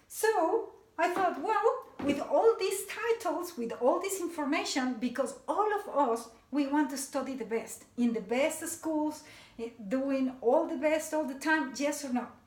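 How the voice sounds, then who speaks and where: Speaking fairly slowly with a Mexican accent, a woman's high voice swings very widely in pitch, and audible room echo surrounds her. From Mexico City, Mexico. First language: Spanish. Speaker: motivational speaker. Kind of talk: talk to a seminar audience.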